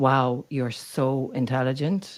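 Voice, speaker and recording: On a very clean recording with a silent background, a woman with an Irish accent speaks in a very deep, low voice with fairly even intonation. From Ireland. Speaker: neuro-culture communication coach. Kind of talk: podcast interview.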